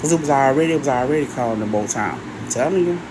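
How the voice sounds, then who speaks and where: The pitch swings very widely at a fairly quick pace. Room echo is audible, and there is noticeable background noise. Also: woman. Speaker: live streamer and minister. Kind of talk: casual live stream monologue. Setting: live stream. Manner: animated.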